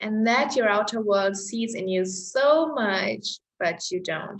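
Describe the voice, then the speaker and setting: The woman speaks at a very slow pace. Audible room echo fills the recording. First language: German. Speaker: astrology-style chart reader. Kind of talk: reading a personal chart to camera.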